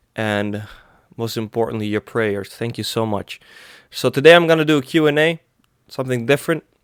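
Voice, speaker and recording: A man in a Greek accent speaks at a medium pitch with ordinary pitch variation and long, frequent pauses. The recording is very clean with a silent background, dry and close with no echo. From Greece. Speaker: religious meme YouTuber. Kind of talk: casual Q&A vlog. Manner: halting.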